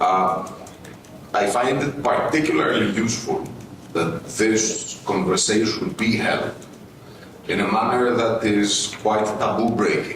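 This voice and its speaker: With audible room echo and noticeable background noise, a man with a Greek accent speaks at a medium pitch and a fairly slow pace, his loudness very even and his pauses long and frequent. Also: ordinary pitch variation. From Greece. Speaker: panel speaker, former MP and journalist. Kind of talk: conference talk. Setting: conference side event with audience.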